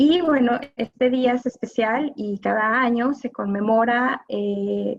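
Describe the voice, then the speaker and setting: A woman speaks at a high pitch with fairly even intonation. Her pace is very slow, with hardly any pauses. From Mexico. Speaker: gender violence specialist, lawyer. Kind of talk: live panel talk.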